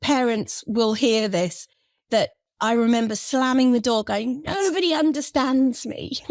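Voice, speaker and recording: At a fairly slow pace, a woman with an English accent speaks at a high pitch with ordinary pitch variation. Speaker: children's relaxation expert. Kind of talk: interview.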